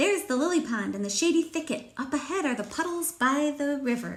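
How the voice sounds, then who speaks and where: A put-on character voice delivers the lines at a fairly quick pace. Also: woman, high pitch for a woman. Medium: read story. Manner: eager, quacking.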